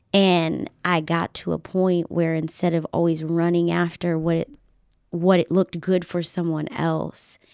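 A woman with an American accent uses an unremarkable speaking voice, fairly low in pitch with ordinary pitch variation. She speaks at a fairly slow pace in a very clean recording with a silent background. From Virginia, Henrico County near Richmond. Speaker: news anchor and reporter. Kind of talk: casual chat. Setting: home studio.

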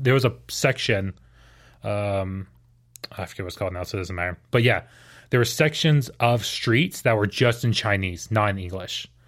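Talking at a moderate pace with an American accent, this man has a plain, everyday voice. His pitch varies in an ordinary way. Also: very clean recording, silent background. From Houston, Texas. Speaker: missionary. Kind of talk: testimony.

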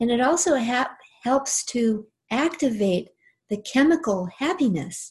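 A woman with a somewhat breathy, soothing tone speaks with very wide pitch swings. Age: 60s. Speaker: angel teacher and author. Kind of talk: casual interview chat; guided meditation, heart-centred breathing and visualisation led in second person. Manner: warm, unhurried; slow, soothing, gently paced instructions.

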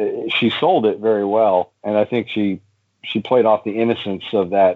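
Speaking at a moderate pace, a man keeps his fairly low voice in fairly even intonation. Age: 40s. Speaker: podcast host of a rock music show. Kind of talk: casual chat. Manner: halting, many fillers.

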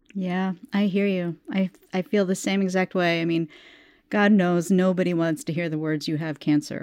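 In an ordinary speaking voice, a woman talks at a moderate pace with fairly even intonation and a fairly low pitch. The sound is dry and close, with no echo. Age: 50s. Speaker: podcast host, health coach. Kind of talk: interview; scripted narration.

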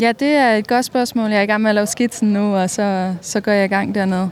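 Using an unremarkable speaking voice, a woman of medium pitch talks at a fairly quick pace with fairly even intonation. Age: 30s. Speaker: mural painter. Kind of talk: interview.

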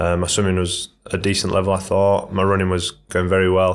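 A man with a Yorkshire accent talks at a fairly quick pace with a very deep, low pitch and monotone, flat intonation on a very clean recording with a silent background. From northern England, Leeds. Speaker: professional triathlete. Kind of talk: casual interview.

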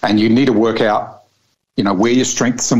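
A man with a New Zealand accent and ordinary pitch variation. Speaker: air force fighter pilot. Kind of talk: interview.

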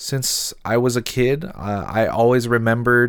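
A man with a West Coast US accent on a very clean recording with a silent background. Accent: American (West Coast). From US Pacific Northwest, Seattle. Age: 20s. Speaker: podcast host. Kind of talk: solo podcast intro monologue.

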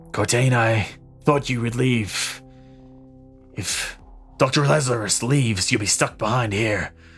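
A man puts on a raspy character voice at a medium pitch, speaking at a fairly slow pace. Long, frequent pauses break it up, and music plays clearly in the background. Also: ordinary pitch variation. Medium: actual play.

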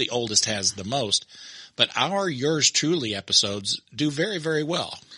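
A man with an American accent speaks at a moderate pace in a fairly high pitch, with very wide pitch swings and a bright, sharp tone. The sound is dry and close with no echo. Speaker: podcast host. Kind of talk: casual chat.

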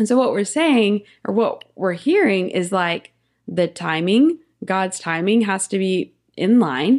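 With a normal speaking voice, a woman talks fairly slowly at a medium pitch, her intonation lively. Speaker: podcast host. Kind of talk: casual podcast conversation.

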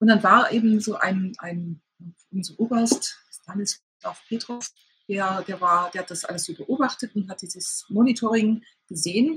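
Speaking at a fairly slow pace, a woman has an unremarkable speaking voice of medium pitch, with ordinary pitch variation and big swings in loudness. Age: 50s. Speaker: sex therapist and author. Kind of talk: interview.

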